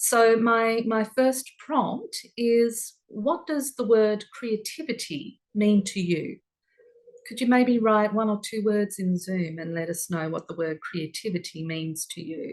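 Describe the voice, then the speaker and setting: Speaking at a very slow pace, a woman with an Australian accent has a calm tone and a fairly high pitch. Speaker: workshop presenter. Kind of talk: online workshop talk. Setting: video call.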